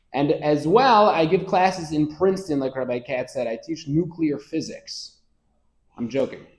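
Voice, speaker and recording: A man speaks at a moderate pace in a plain, everyday voice, fairly high in pitch, with lively intonation and an American accent. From US Northeast (Rochester, New York). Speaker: rabbi and Torah lecturer. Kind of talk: lecture.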